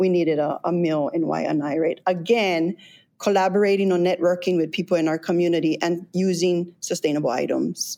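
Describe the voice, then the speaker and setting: At a fairly quick pace, a woman speaks in a dark, mellow tone that is fairly low in pitch and very even in loudness. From Hawaii, west side of Oahu. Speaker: high school teacher and community organizer. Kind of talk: interview. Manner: animated.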